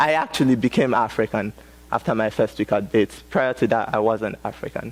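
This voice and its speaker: With music in the background, a man speaks at a medium pitch in a Nigerian accent. His pace is fairly quick. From Nigeria, Nnewi. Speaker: college student speaker. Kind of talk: TEDx talk. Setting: stage with audience. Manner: halting, many fillers.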